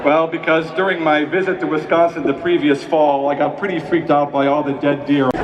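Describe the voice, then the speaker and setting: Fairly quick and monotone, a man speaks at a fairly high pitch with flat intonation over noticeable background noise. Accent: American. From Chicago, United States. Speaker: television writer and producer giving a commencement speech. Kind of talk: commencement speech, humorous address to graduates. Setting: large auditorium or stadium ceremony. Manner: humorous, conversational, self-deprecating.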